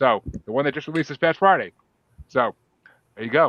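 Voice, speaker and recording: A fairly high-pitched man with a slight Boston accent at a very fast pace. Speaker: podcast host. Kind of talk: casual chat. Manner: animated.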